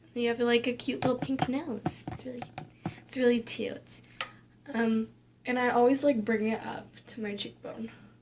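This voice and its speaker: The speech moves at a moderate pace with long, frequent pauses over noticeable background noise. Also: woman, high pitch for a woman. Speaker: beauty vlogger. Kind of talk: makeup tutorial. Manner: casual, filler-heavy.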